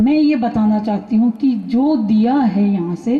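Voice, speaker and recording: A woman speaks in a fairly high voice with ordinary pitch variation. Noticeable background noise runs underneath. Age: 60s. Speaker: attendee giving feedback. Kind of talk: speech at a camp.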